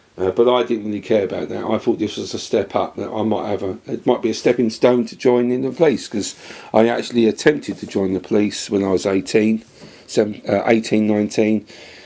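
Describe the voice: This man talks fairly quickly in a fairly low, dark and mellow voice with vocal fry and fairly even intonation.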